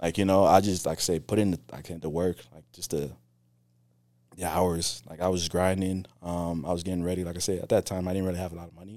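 A man talks very fast in a very deep, low, dark, mellow voice with monotone, flat intonation. His loudness swings widely on a very clean recording with a silent background. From West Africa, moved to Virginia at ten. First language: Creole. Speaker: pest control salesman. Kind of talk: casual interview.

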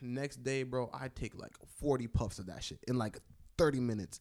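With an American accent, a man uses a normal speaking voice at a medium pitch, with ordinary pitch variation. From Washington DC area. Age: 20s. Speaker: podcast host. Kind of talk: casual chat.

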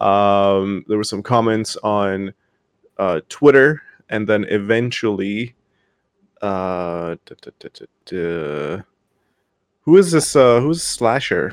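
In a dry, close sound with no echo, a man with a fairly low pitch speaks at a very slow pace with lively intonation, long, frequent pauses and big swings in loudness. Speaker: podcast co-host. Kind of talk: casual chat. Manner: joking.

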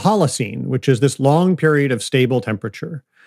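An ordinary speaking voice with an American accent talks at a fairly quick pace, its intonation lively. The recording is very clean and silent behind, with a dry, close sound and no echo. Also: man. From US Midwest, outside Detroit, Michigan. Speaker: climate nonprofit founder, former finance executive. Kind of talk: interview conversation.

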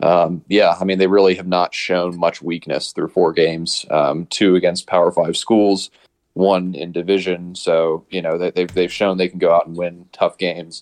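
The man's pitch is very deep and low. He talks with an American accent and hardly any pauses. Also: moderate pace, dry, close sound with no echo. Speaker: college football fan guest. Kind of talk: casual chat. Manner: excitable.

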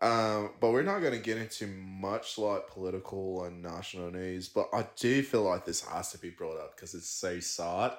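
Here a man talks with an Australian accent at a fairly low pitch. His pace is fairly slow and his intonation fairly even. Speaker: podcast host. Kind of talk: casual chat over drinks. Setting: recorded in friend's apartment, audio only.

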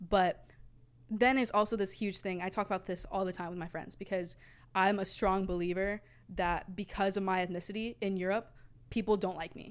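A woman in a Texas accent with monotone, flat intonation, on a very clean recording with a silent background. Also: medium pitch for a woman, moderate pace. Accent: American (Texas). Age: young. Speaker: university student. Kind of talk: casual chat.

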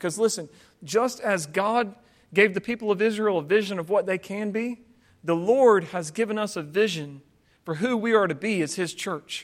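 With an American accent, a man speaks at a high pitch and a moderate pace, his intonation showing ordinary pitch variation. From US South. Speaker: pastor. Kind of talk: sermon. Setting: church.

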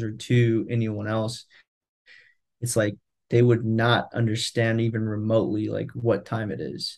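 A man talks in a plain, everyday voice at medium pitch and a fairly slow pace. Behind him, the background is quiet. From California, Central Valley. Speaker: product manager. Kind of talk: casual interview.

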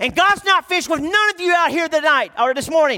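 An American accent comes from a man with an extremely high pitch and a raised, projected voice. The sound is dry and close with no echo. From Texas. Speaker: youth pastor, guest preacher. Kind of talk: sermon. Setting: church with congregation. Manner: animated.

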